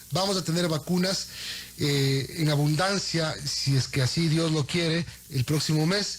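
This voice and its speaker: With noticeable background noise around him, a man speaks at a fairly slow pace. His voice is fairly high in pitch, with fairly even intonation and very even loudness. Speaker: radio host. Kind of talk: radio interview.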